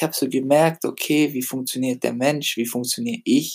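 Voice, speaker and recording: Moderate in pace, the speech comes through on a very clean recording with a silent background. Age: 20s. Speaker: personal development podcaster. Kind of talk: motivational monologue. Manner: casual, hesitant with fillers.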